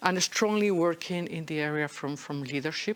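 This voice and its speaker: A woman with a slight Spanish accent speaks with lively intonation. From Spain. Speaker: agile leadership speaker. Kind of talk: talk at a meetup. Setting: room with live audience. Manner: animated, interactive.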